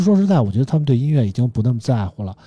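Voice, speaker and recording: The voice has a dark, mellow tone, sounds somewhat breathy, and moves at a very fast pace. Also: man. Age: 40s. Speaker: podcast host. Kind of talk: casual chat; reading out phone specs.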